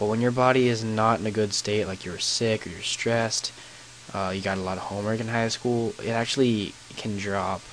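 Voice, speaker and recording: With noticeable background noise behind him, a man speaks fairly quickly at a fairly low pitch and with fairly even intonation. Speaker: gaming YouTuber. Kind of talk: gameplay commentary with storytelling. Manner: monotone; halting, many fillers.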